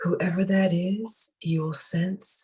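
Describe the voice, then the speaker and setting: The voice is somewhat breathy, with a dark, mellow tone. It stays calm and soothing in monotone, flat intonation. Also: woman. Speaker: spiritual teacher, meditation guide. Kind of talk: guided meditation. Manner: calm, soothing, slow.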